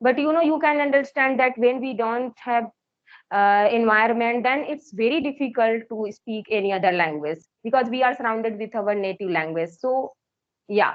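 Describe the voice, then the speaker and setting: A fairly high-pitched woman's voice with an Indian accent and lively intonation. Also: moderate pace. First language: Hindi. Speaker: English teacher and learner. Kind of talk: English practice conversation.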